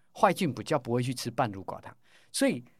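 A man's medium-pitched voice with lively intonation at a fairly quick pace, on a very clean recording with a silent background. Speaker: pharmacy professor and probiotics researcher. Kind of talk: interview. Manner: animated.

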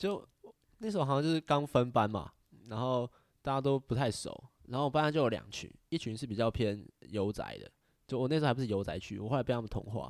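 On a very clean recording with a silent background, a man at medium pitch talks at a very fast pace with long, frequent pauses and ordinary pitch variation. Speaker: podcast host. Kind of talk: casual chat.

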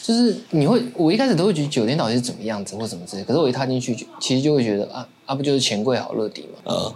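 Over noticeable background noise, a man talks at a very fast pace and medium pitch, with lively intonation and big swings in loudness. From Taiwan. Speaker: podcast co-host. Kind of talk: casual chat.

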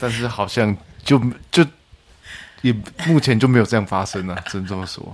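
The speaker talks at a fairly quick pace with ordinary pitch variation and big swings in loudness. Long, frequent pauses break up the speech. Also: man, medium pitch for a man. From central-southern Taiwan. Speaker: podcast guest. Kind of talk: casual chat.

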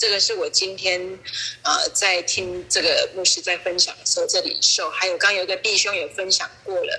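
Background noise is noticeable while a woman talks at a medium speed. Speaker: church member. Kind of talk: testimony. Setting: online call.

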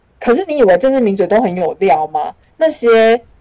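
A woman speaks at a moderate pace with a fairly high pitch that swings very widely. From Taiwan, Changhua. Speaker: comedian and writer. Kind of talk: casual interview.

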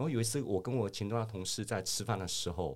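Speaking at a very fast pace, a man with a medium pitch and ordinary pitch variation sounds somewhat breathy in a very clean recording with a silent background. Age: 50s. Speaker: finance professional. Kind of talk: casual interview.

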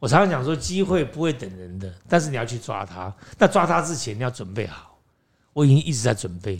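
In a very clean recording with a silent background, a somewhat breathy man at a medium pitch talks fairly quickly, with very wide pitch swings and big swings in loudness. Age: 60s. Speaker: actor and acting teacher. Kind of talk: interview.

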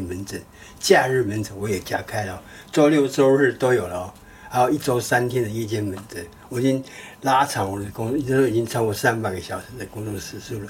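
A fairly low-pitched man with a Taiwanese accent, talking at a fairly quick pace with ordinary pitch variation over noticeable background noise. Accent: Taiwanese Mandarin. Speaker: doctor and podcast co-host. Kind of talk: casual chat. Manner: halting.

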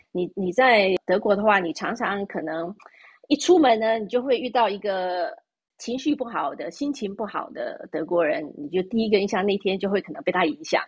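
Moving at a moderate pace, a woman speaks with very wide pitch swings and big swings in loudness. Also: medium pitch for a woman. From Taiwan. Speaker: expat living in Europe. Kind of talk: casual interview chat. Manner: halting, with many fillers and repetitions.

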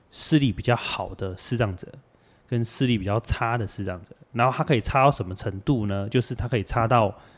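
The speaker has a Kaohsiung accent and talks at a moderate pace with ordinary pitch variation. The recording is very clean, with a silent background. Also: man. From Taiwan, Kaohsiung. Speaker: visually impaired travel organizer and athlete. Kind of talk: casual chat.

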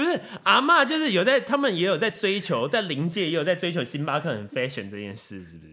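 High-pitched male speech at a fairly quick pace, hardly any pauses, very wide pitch swings and big swings in loudness. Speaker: podcast co-host. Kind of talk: casual chat. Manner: energetic.

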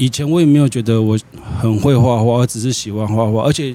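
The speaker is a man going at a moderate pace. His pitch shows ordinary variation. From Taiwan (Yilan). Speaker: painter. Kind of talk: interview conversation.

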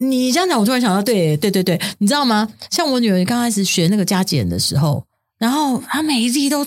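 With a fairly high pitch and very wide pitch swings, a woman talks at a fairly quick pace. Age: 50s. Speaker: podcast co-host. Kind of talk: casual chat.

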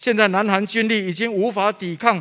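A man with a high pitch. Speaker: preacher. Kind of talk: sermon. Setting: church. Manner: formal, earnest preaching, measured and solemn when telling stories; direct and exhortative, addressing the congregation.

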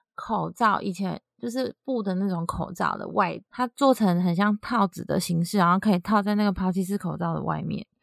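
Taiwanese accent in a dry, close sound with no echo. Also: woman. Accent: Taiwanese Mandarin. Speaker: podcast co-host. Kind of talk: casual chat.

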